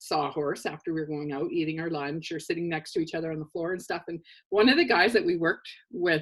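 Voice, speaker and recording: A woman with a fairly low voice talks at a fairly quick pace on a very clean recording with a silent background. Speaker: show co-host. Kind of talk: casual chat. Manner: animated.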